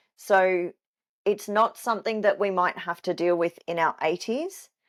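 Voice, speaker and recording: With an Australian accent, a woman talks at a fairly slow pace, medium in pitch and fairly even in intonation, in a very clean recording with a silent background and a dry, close sound with no echo. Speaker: fitness coach. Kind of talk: solo podcast talk.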